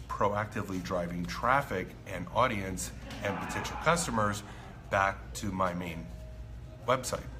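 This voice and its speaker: A man speaks at a fairly low pitch over faint background music. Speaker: marketing coach. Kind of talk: casual vlog chat. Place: cafe. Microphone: phone near.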